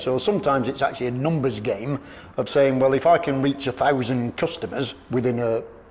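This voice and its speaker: Fairly quick, fairly high-pitched male speech with ordinary pitch variation, set against noticeable background noise. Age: 50s. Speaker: detailing business owner. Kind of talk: interview.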